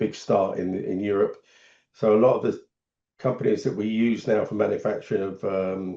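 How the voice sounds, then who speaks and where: A man talks at a moderate pace. He has an English accent. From England. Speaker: solar business founder. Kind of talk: podcast interview.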